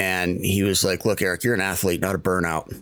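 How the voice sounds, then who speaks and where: A man with an American accent speaks at a very fast pace. His pitch is very deep and low. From Maine, US. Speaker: contracting business coach and podcaster. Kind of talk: casual interview chat.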